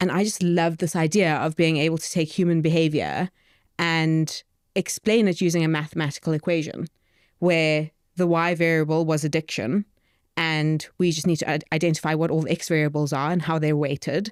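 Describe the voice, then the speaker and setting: On a very clean recording with a silent background, a woman with a South African accent speaks fairly quickly in a very deep, low voice, with very even loudness and fairly even intonation. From South Africa, Johannesburg. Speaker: startup co-founder, behavioural economist. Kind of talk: podcast interview.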